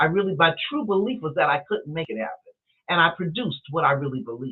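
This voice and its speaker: A plain, everyday voice at a fairly quick pace. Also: woman. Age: 60s. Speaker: metaphysical counselor. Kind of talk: interview chat.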